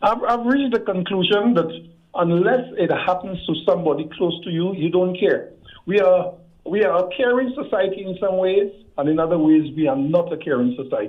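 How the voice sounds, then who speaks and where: Here is a man with a high pitch. He uses lively intonation at a moderate pace. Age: 60s. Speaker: caller. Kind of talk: call-in discussion.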